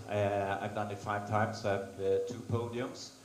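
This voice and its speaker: Audible room echo surrounds a man speaking at a fairly slow pace with a Swedish accent. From Sweden, Stockholm. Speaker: race organiser and endurance racer. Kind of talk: conference presentation. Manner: halting.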